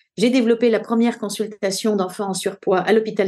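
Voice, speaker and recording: Against a quiet background, the voice carries a dark, mellow tone. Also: woman. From France (Paris). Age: 60s. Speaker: nutrition doctor. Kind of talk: interview testimony. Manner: hesitant, many fillers.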